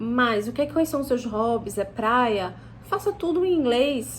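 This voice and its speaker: This is a woman speaking. Her pitch is high. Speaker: English teacher. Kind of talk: casual teaching talk to camera. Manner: halting, many false starts.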